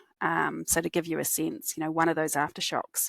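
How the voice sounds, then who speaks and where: A woman with a strong New Zealand accent speaks in a very deep, low voice with vocal fry and monotone, flat intonation, the sound dry and close with no echo on a very clean recording with a silent background. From New Zealand, Christchurch. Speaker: cognitive scientist, company executive. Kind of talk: podcast interview.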